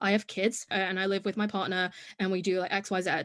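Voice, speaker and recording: A woman talks at a very fast pace in an English accent. The background is quiet. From Hong Kong. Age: 20s. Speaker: podcast guest, content creator. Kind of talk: casual interview chat.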